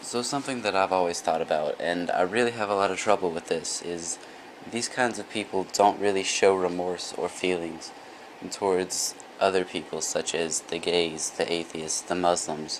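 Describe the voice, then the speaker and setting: Quiet and at a moderate pace, a man speaks at a very deep, low pitch with ordinary pitch variation over noticeable background noise. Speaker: vlogger. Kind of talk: casual monologue vlog.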